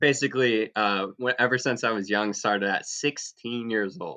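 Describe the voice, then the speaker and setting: A man with an American accent talks at a fairly slow pace in a medium pitch, his tone bright and sharp, his pitch varying in an ordinary way, the sound dry and close with no echo against a quiet background. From US South, Jupiter, Florida. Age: 20s. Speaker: entrepreneur. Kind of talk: casual chat.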